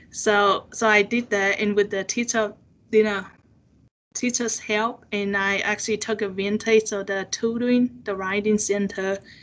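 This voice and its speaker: In a Chinese accent, a woman speaks at a fairly slow pace with a fairly high pitch and monotone, flat intonation. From China. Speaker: seminar speaker. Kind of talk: personal testimony in interview. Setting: video call. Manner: halting, many fillers.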